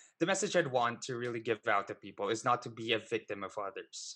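A man talks fairly quickly at a medium pitch, his tone bright and sharp. His pitch varies in an ordinary way over a quiet background. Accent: Filipino. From Philippines. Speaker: online show host and financial advisor. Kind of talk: interview.

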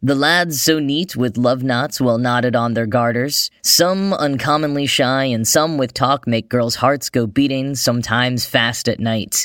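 A man's normal speaking voice with a General American accent, medium pitch, ordinary pitch variation, a fairly slow pace and hardly any pauses. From United States. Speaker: podcast host. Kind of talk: scripted news-style podcast narration.

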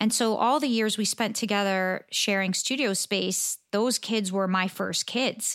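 A woman with an American accent, an unremarkable speaking voice, medium pitch, a fairly slow pace, and a dry, close sound with no echo in a very clean recording with a silent background. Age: 50s. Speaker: portrait photographer and educator. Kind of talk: interview.

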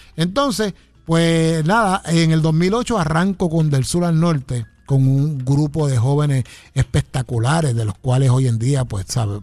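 Somewhat breathy and fairly high-pitched, a man speaks fairly slowly with lively intonation. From Puerto Rico, Ponce. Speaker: trumpeter and arranger. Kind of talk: radio interview. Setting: radio studio.

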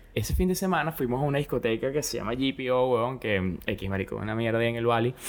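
Pitched at a medium level with ordinary variation, the man has an unremarkable speaking voice. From Venezuela, Caracas. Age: 20s. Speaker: phone repair worker. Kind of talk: casual chat. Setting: home studio.

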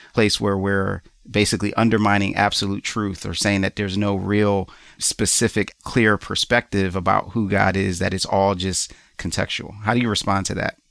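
An unremarkable speaking voice from a man, fairly low in pitch at a moderate pace, on a very clean recording with a silent background and a dry, close sound with no echo. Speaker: podcast host. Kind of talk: casual interview.

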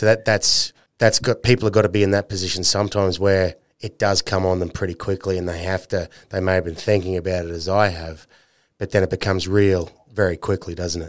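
A man speaks at a very fast pace in a very deep, low pitch. His intonation stays monotone and flat. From North Queensland, Australia. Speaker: podcast host. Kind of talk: casual interview chat.

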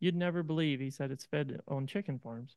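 Over a quiet background, an unremarkable speaking voice moves at a fairly quick pace with fairly even intonation, the sound dry and close with no echo. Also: man. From East Central Ohio. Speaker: farmer. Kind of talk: interview. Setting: on-the-road studio at a conference.

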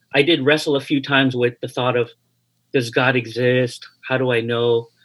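A medium-pitched man speaks with a Hawaiian accent. The recording is very clean, with a silent background. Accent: American English, Hawaii. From Hawaii, after Japan and Toronto. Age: 50s. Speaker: pastor. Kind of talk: interview.

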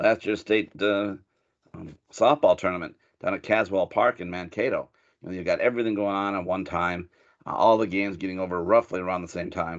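Against a quiet background, a man with a normal speaking voice talks at a fairly quick pace, fairly low in pitch with fairly even intonation. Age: 50s. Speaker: high school sports reporter. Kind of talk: casual chat.

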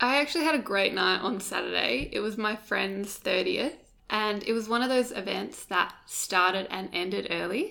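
A woman speaks at medium pitch with a bright, sharp tone and vocal fry. Her intonation is lively. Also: moderate pace. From Perth, Western Australia. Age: 20s. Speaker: digital content producer. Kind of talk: casual chat. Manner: giggly.

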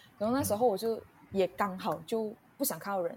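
Her voice somewhat breathy and dark, mellow in tone, a woman speaks at a moderate pace and medium pitch with ordinary pitch variation. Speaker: podcast guest sharing personal story. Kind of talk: casual interview chat. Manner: halting, many fillers.

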